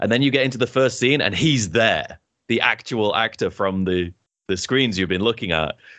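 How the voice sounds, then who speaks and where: A man with a British accent at a fairly quick pace, his intonation lively. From Britain. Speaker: podcast co-host. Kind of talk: casual chat. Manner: animated, laughs often.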